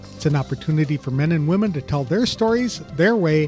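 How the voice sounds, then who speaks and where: Music plays in the background. The voice moves at a fairly quick pace with lively intonation. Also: man. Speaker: podcast host. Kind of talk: podcast intro.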